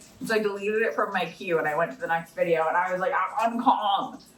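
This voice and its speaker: Noticeable background noise sits behind a voice with a tired tone. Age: 20s. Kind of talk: casual podcast-style chat. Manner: tired, rambling.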